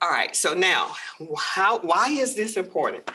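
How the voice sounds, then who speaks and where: At a fairly slow pace, a woman with an American accent speaks at medium pitch in a bright, sharp tone. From US South, Georgia. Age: 60s. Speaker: legal aid program director. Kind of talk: lecture.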